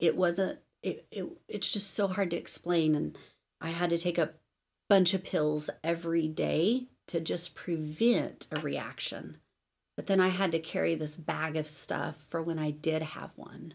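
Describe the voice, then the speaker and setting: A fairly low-pitched woman's voice with vocal fry, fairly even intonation and a fairly slow pace. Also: very clean recording, silent background. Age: 40s. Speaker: podcast host and Bible teacher. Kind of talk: teaching podcast monologue with prayer. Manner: casual, filler-heavy.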